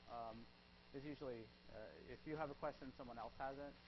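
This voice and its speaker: A man at a very fast pace, with audible room echo. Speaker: psychology professor. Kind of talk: lecture. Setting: classroom with students.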